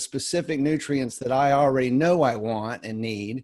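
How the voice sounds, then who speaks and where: In a normal speaking voice, a man keeps a moderate pace with ordinary pitch variation. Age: 50s. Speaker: wellness product distributor. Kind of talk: webinar discussion.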